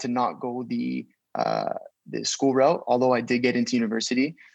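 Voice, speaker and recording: This man has a Canadian accent and an ordinary speaking voice. His pitch is medium, and his intonation stays fairly even. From Canada, Toronto. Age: 20s. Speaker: entrepreneur. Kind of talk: casual interview chat.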